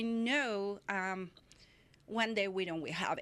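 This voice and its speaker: A woman with a Spanish accent speaks at a fairly slow pace against a quiet background. Her medium-pitched voice sounds bright and sharp, with ordinary pitch variation. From Mexico City. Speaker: photographer. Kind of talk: interview. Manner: halting.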